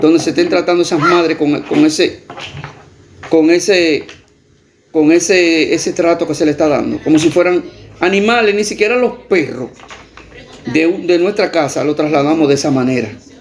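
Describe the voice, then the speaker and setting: Through noticeable background noise, a man with a high pitch speaks with ordinary pitch variation and long, frequent pauses. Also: moderate pace. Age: 60s. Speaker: video blogger. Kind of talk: direct-to-camera appeal. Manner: impassioned.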